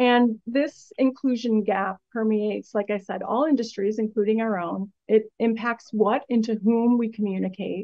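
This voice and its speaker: A woman talks in an unremarkable speaking voice, fairly high in pitch and fairly even in intonation. She keeps a moderate pace with hardly any pauses. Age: 50s. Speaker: agency executive. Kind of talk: interview.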